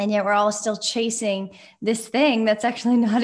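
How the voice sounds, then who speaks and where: Somewhat breathy, a woman talks at a fairly quick pace in a fairly high pitch. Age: 40s. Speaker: podcast host. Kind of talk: casual chat. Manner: animated.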